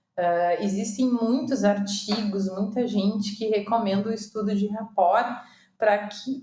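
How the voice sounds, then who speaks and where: Room echo can be heard as a woman talks at a fairly slow pace. Her pitch is medium. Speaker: online course instructor in recruitment. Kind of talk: recorded lecture with slides. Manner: many filler hesitations.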